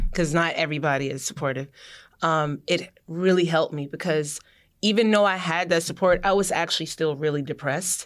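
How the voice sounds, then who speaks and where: A woman with an unremarkable speaking voice talks at a fairly quick pace and a fairly low pitch, with ordinary pitch variation. The recording is very clean, with a silent background. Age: 30s. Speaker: children's book author. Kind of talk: casual chat. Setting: studio.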